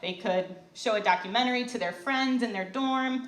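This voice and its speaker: With an Upper Midwest accent, the speaker keeps a moderate pace and ordinary pitch variation, amid audible room echo and noticeable background noise. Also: woman. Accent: Upper Midwest American. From Southeast Michigan. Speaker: youth ministry director, presenter. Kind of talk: prepared talk to a live audience. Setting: stage with audience.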